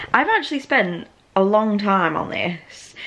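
A woman speaks with a British accent. Noticeable background noise is audible. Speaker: vlogger and university student. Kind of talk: casual vlog monologue. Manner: chatty, giggly.

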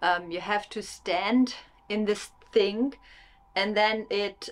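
A woman's voice with ordinary pitch variation. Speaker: vlogger. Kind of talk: casual vlog chat. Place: home room.

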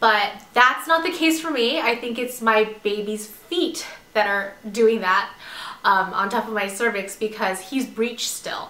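Noticeable background noise surrounds a woman's voice. She speaks at a fairly slow pace, with a fairly high pitch and lively intonation. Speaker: pregnant vlogger. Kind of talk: casual talk to camera. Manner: hesitant, many fillers.

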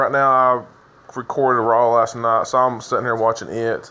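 A man talks with light background noise in the recording. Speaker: gameplay narrator. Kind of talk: casual gaming commentary. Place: home room.

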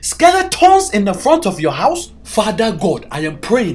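Faint music sits in the background. Over it, a man talks at a moderate pace. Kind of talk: comedic sketch dialogue.

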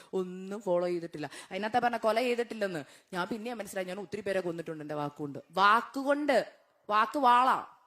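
A woman's voice sits at a medium pitch and moves with lively intonation. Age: 30s. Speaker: guest preacher. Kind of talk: sermon with personal testimony. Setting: church. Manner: animated.

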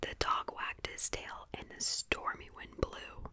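A woman whispers at a very slow pace. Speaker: ASMR creator. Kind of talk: storybook reading aloud. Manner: soft, hushed storybook reading voice. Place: home room. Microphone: studio mic.

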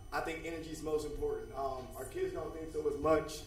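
A man speaks fairly quickly, his voice echoing audibly off the room while noticeable background noise carries on. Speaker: dean of students at a school. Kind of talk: presentation at a school board meeting. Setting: public board meeting. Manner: energetic.

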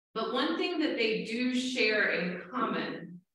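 Strong room echo surrounds a woman speaking very slowly with lively intonation. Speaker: Presbyterian minister. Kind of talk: sermon. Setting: church. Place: church.

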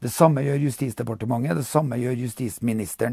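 A man talks at a very fast pace in a dark, mellow, somewhat breathy voice with ordinary pitch variation, the sound dry with no echo and the background quiet. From Norway. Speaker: political commentator. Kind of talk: monologue commentary. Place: home room.

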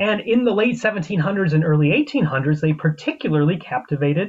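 Using very wide pitch swings, a man with an American accent and high pitch speaks at a moderate pace. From US Midwest, central Illinois. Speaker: paleontologist and author. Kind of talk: lecture. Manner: informal. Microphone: video call.

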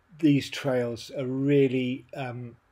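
A man speaks in a somewhat breathy voice. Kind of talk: riding commentary. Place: bicycle.

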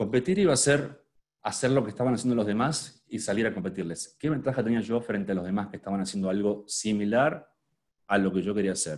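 Against a quiet background, a man with a fairly low voice speaks fairly quickly, with ordinary pitch variation. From Argentina. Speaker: luxury hotel marketing specialist; presenter. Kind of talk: online workshop talk; lecture. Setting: video call with screen sharing. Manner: hesitant, many fillers and repetitions. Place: home room. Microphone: webcam.

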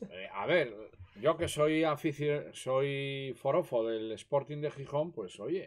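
Very slow speech comes from a man with a fairly high pitch and ordinary pitch variation. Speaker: host's father. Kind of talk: casual chat. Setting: live stream.

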